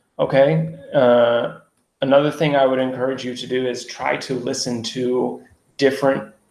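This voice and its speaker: Audible room echo surrounds a man's voice. He has a medium pitch and speaks with an American accent. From US, Seattle. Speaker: English teacher. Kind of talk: online lecture. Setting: live online stream. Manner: clear; moderate pace.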